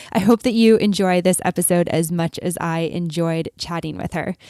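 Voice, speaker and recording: A woman with a Canadian accent has an ordinary speaking voice, fairly low in pitch with ordinary pitch variation. The sound is dry and close, with no echo. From Canada. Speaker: podcast host. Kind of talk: podcast intro with ad read; podcast interview.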